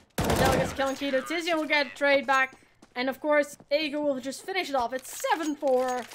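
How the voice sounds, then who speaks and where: A woman with a high voice and a Dutch accent, fairly quick pace, fairly even intonation, and noticeable background noise. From Netherlands. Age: 20s. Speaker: esports caster. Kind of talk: live commentary.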